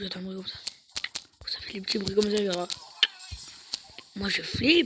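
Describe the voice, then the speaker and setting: Speech comes at a fairly quick pace, broken by long, frequent pauses. Noticeable background noise sits behind it. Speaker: gaming streamer. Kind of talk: gameplay commentary. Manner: animated.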